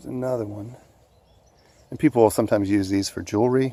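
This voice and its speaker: A man talks quietly in a dark, mellow tone. His loudness swings a lot. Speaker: hiking vlogger. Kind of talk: outdoor vlog narration. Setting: outdoors in woods by a creek. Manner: quiet, low-voiced.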